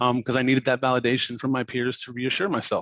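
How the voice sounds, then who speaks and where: A man speaks at a very fast pace in a medium-pitched voice. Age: 30s. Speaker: content designer, conference speaker. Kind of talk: conference talk. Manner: casual, hesitant with many fillers.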